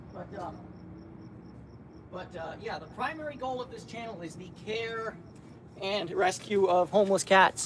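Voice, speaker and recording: Loudness swings widely, with long, frequent pauses. Background noise is noticeable. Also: man, high pitch for a man, ordinary pitch variation, fairly slow pace. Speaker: cat rescue livestreamer. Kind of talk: live stream chat. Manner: halting, repeats words.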